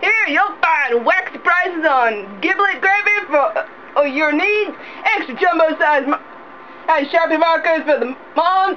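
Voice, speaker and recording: Speaking at a fairly slow pace, the voice is raised and projected, with lively intonation and very even loudness. Noticeable background noise runs underneath. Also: woman, extremely high pitch for a woman. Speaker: voice actor. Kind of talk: mock commercial read. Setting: studio.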